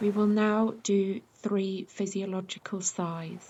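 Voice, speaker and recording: A woman with a British accent speaks in a calm tone and a somewhat breathy voice. Her intonation is monotone and flat. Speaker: yoga nidra teacher. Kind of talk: guided meditation. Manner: slow, calm.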